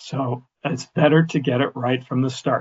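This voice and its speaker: This man talks at a fairly slow pace in a somewhat breathy voice. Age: 70s. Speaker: health insurance agent. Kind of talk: webinar presentation. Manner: halting.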